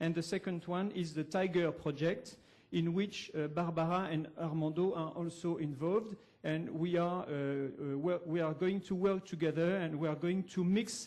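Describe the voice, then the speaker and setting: A man's high-pitched voice in a French accent with fairly even intonation. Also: moderate pace. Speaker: academic researcher. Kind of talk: conference presentation. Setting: university lecture hall. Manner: halting, many fillers.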